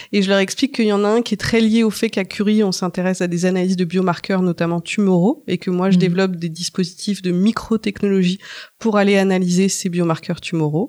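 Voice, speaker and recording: A woman talks at a very fast pace in a medium pitch with a dark, mellow tone. Her loudness is very even, her intonation fairly even, and the sound is dry and close with no echo. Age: 40s. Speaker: research scientist. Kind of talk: interview. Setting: lab tour.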